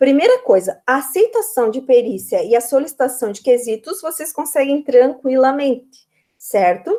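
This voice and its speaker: Speaking at a fairly slow pace, a woman uses a high pitch, very wide pitch swings, and an animated tone. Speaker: accounting professor. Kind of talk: online class lecture.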